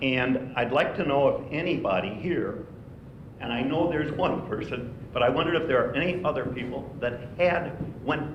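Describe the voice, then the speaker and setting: Set against noticeable background noise and audible room echo, the voice moves at a moderate pace with ordinary pitch variation. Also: man. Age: 80s+. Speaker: retired university administrator. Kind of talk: speech at a retiree breakfast.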